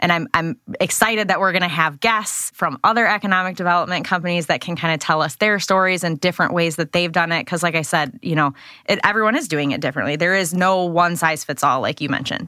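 Talking very fast in a bright, sharp tone, a woman with an American accent uses a fairly low pitch with ordinary variation, captured in a very clean recording with a silent background. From West Michigan, US. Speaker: podcast co-host, attorney. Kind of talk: casual chat.

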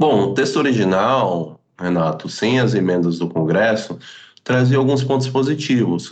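Audible room echo surrounds a man speaking at a fairly slow pace. His pitch varies in an ordinary way. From Florianópolis, southern Brazil. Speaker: energy company account executive. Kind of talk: interview explanation.

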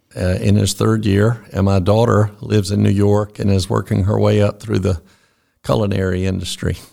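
A man's fairly low, dark, mellow voice in a Southern US accent, with fairly even intonation, very even loudness and a moderate pace. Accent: Southern US (Georgia). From US South, Georgia (Fitzgerald). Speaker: orthopedic surgeon. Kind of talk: interview.

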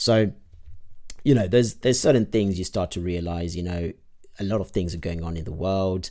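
In a very clean recording with a silent background, a man with a very deep, low pitch and a dark, mellow tone talks at a fairly quick pace with ordinary pitch variation and long, frequent pauses. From Zimbabwe. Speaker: podcast host. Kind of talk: solo podcast update monologue. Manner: hesitant, many filler words.

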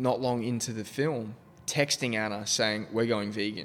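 With an Australian accent, a man speaks at a moderate pace and medium pitch, his intonation fairly even over noticeable background noise. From South Australia (Adelaide). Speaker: photographer and podcast host. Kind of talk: casual interview chat.

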